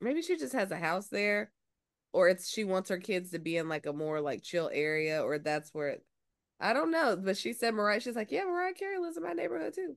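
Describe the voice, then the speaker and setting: With an American accent, a woman talks at a fairly quick pace and a medium pitch. Hers is a normal speaking voice with lively intonation. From US South, Georgia. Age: 30s. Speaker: actress and cosplayer. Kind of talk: casual chat.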